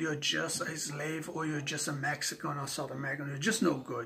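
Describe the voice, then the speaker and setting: A man speaks with a non-native accent. His pace is moderate. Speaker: vlogger. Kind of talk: rant to camera. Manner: halting, repeating words.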